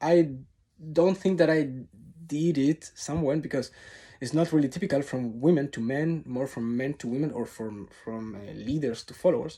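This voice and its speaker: With a dark, mellow tone and fairly high pitch, a man talks at a moderate pace with ordinary pitch variation on a very clean recording with a silent background. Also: big swings in loudness. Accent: Spanish. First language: Spanish. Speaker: tango teacher. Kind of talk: vlog monologue to camera. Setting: recording alone to camera. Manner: unscripted, off-the-cuff.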